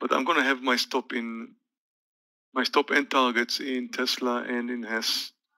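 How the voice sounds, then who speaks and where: In a very clean recording with a silent background, a man speaks at a fairly slow pace in a bright, sharp tone with monotone, flat intonation. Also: medium pitch for a man. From Israel. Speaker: day trader. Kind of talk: live trading stream chat. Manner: casual, hesitant with fillers.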